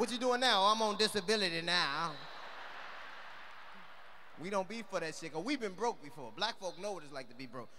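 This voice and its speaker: A man's raised, projected voice carries a bright, sharp tone over light background noise. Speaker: stand-up comedian. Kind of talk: stand-up comedy routine. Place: stage. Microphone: handheld.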